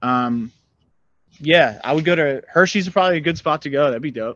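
A man with an American accent talks at a fairly quick pace with ordinary pitch variation against a quiet background. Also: dry, close sound with no echo. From Pennsylvania, US. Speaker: musician. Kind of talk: casual chat. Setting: video call.

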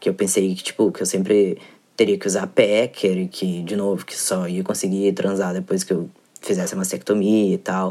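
A man speaks at a fairly quick pace with a fairly low pitch. His voice has a dark, mellow tone. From southern Brazil, Porto Alegre. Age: 20s. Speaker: listener sending voice message. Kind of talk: recorded voice message.

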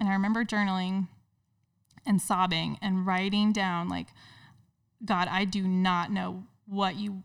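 Speaking in a plain, everyday voice at medium pitch, a woman with an American accent goes at a fairly slow pace on a very clean recording with a silent background. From Indiana. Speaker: elementary school teacher and business owner. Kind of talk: casual interview.

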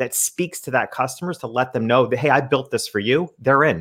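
A man with an American accent uses a plain, everyday voice at a moderate pace, with lively intonation. The recording is very clean, with a silent background. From upstate New York. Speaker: small business consultant and portrait photographer. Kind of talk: podcast interview.

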